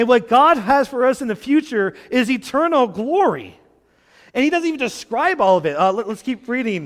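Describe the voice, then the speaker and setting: A man's extremely high-pitched voice at a moderate pace, with very wide pitch swings. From Quebec. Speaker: guest preacher. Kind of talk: sermon. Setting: church.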